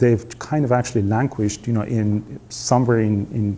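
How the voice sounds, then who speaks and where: Moderate pacing from a man with a dark, mellow tone. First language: not English. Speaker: veterinary researcher, network director. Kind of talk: seminar talk. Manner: halting, many fillers.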